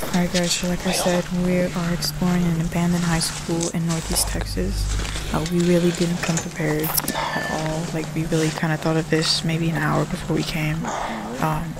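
Loud background noise sits behind a woman who speaks at a moderate pace in a dry sound with no echo. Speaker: vlogger. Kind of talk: casual vlog chat. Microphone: phone near.

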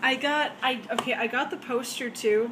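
Fairly slow, fairly even speech over noticeable background noise. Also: woman. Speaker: fan unboxing an album. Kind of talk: casual talk to camera. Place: home room. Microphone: phone near.

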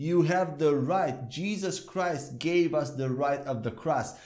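A man's high-pitched voice at a fairly slow pace, with light background noise. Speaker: bible teacher. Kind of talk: sermon. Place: studio. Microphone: lapel.

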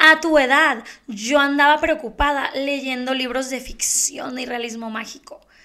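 A woman with a Mexican accent uses a raised, projected voice, high in pitch and bright and sharp in tone. She speaks at a fairly slow pace with fairly even intonation against a quiet background. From Mexico. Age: 30s. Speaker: beauty youtuber and podcast host; beauty youtuber, podcast host. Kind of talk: casual monologue. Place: home room. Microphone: handheld.

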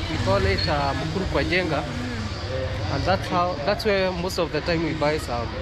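A man's fairly high voice with very wide pitch swings, moderate pace and hardly any pauses, over loud background noise. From Kenya. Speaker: vlogger. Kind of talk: walking vlog commentary. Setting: outdoors. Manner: halting. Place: street. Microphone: phone near.

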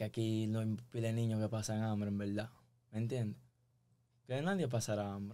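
In a Dominican accent, a man speaks with a dark, mellow tone and fairly even intonation. He keeps a moderate pace broken by long, frequent pauses. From Dominican Republic. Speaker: musician; podcast guest. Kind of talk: casual chat. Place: studio. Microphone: studio mic.

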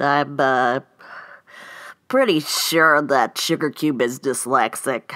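A cartoonish character voice from a woman, extremely low in pitch yet fairly bright in tone, with ordinary pitch variation and a slow pace.

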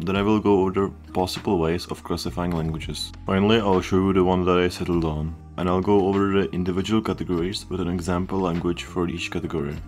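Over music in the background, a man with a very deep, low pitch talks at a very fast pace with hardly any pauses and fairly even intonation. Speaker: programming educator. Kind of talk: educational explainer narration.

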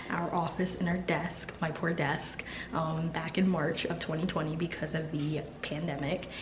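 Over noticeable background noise, a woman with a fairly low pitch speaks at a fairly slow pace in a monotone, flat intonation. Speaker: vlogger. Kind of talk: casual vlog chat. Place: home room. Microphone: phone near.

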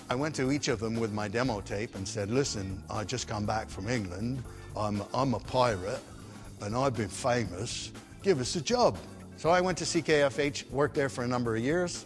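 A man with lively intonation over clear background music. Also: moderate pace. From England, raised in Canada. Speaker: former disc jockey and singer. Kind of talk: interview answer. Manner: casual, anecdotal. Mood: animated, humorous storytelling. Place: stage.

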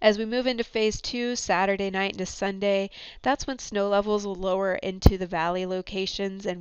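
A woman talks at a moderate pace in a normal speaking voice at a medium pitch. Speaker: meteorologist. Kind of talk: recorded weather briefing. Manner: formal, clear and informative; steady, with occasional filler 'um'.

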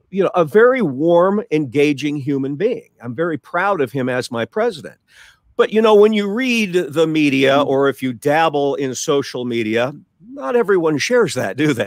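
A man speaks at a moderate pace with a fairly high pitch and very wide pitch swings. The sound is dry, with no echo. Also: quiet background. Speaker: regular show contributor. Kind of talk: casual talk show chat. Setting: video call. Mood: reflective, earnest. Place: home room. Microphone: video call.

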